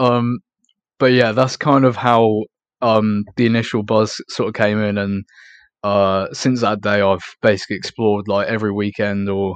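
A man with an East Anglian accent speaks in a fairly low, flat monotone. His pace is moderate, and the background is quiet. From England, Norfolk. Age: young. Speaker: urban explorer. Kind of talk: interview.

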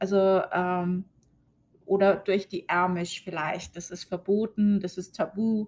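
A woman speaks at a very slow pace in a medium pitch, her intonation monotone and flat while her loudness swings widely. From Germany. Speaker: podcast host. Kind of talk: casual monologue. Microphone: new recording setup.

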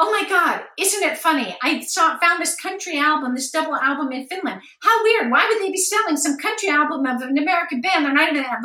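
Excited and shrill, a woman races along at a very fast pace with hardly any pauses in a put-on character voice at an extremely high pitch. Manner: fast, rambling, excited.

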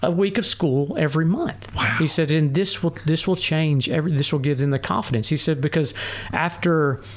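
A man in a Tennessee accent, fairly high in pitch, at a moderate pace amid noticeable background noise. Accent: Southern US (Tennessee). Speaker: ultrarunner. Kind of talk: casual chat. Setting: home studio.

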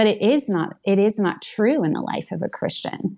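On a very clean recording with a silent background, a woman speaks with vocal fry. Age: 40s. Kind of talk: casual chat.

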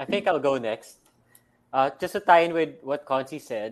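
A man with a Filipino accent talks at a moderate pace and a medium pitch. His intonation is lively, and the background is quiet. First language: Tagalog. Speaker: physical therapist. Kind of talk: panel discussion.

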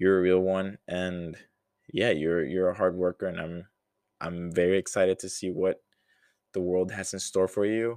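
At a fairly slow pace with long, frequent pauses, a man speaks in a low pitch and a slightly mellow tone.

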